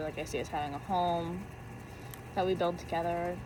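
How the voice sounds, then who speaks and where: A woman speaks at a fairly quick pace with fairly even intonation, and audible room echo surrounds her voice. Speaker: youtuber. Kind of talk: casual chat. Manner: halting.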